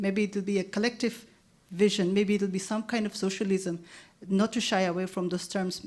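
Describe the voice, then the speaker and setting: This woman's pitch sits in the middle of her range, and her delivery is flat and monotone at a fairly quick clip. The recording is very clean, with a silent background. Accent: Nagaland. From Nagaland, northeast India. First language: Lotha. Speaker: anthropologist. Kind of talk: panel discussion. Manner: halting, many restarts and fillers.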